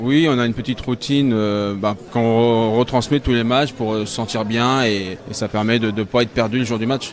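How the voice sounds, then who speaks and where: Medium-pitched male voice with fairly even intonation and hardly any pauses, over noticeable background noise. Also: moderate pace. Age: 40s. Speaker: sport shooting coach and father of competitor. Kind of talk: casual interview. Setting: shooting range at championship.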